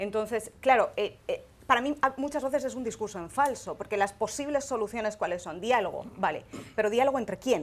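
A woman speaks at a fairly high pitch and a fairly quick pace. Her pitch varies in an ordinary way. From Spain, Valencia. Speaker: foreign correspondent. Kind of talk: panel discussion. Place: studio. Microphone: lapel.

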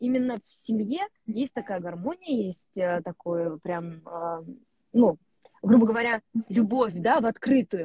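A woman speaks with lively, bouncing intonation and a somewhat breathy quality. The background is quiet, and the sound is dry with no echo. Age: 20s. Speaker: actress. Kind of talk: casual chat. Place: car. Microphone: mobile internet connection from a car; earbuds.

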